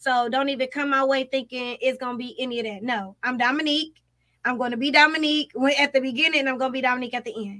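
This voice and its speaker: Talking very fast, a woman uses a raised, projected, high-pitched voice. Her tone is animated, bright and sharp. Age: 30s. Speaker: podcast co-host. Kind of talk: casual chat.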